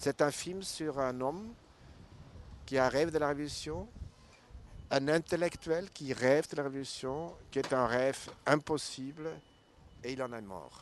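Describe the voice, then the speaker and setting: Speaking with a non-native accent, a man with a fairly high pitch and ordinary pitch variation goes at a fairly slow pace with long, frequent pauses. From Switzerland. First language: not French (speaking French). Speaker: documentary filmmaker. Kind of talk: interview. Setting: festival.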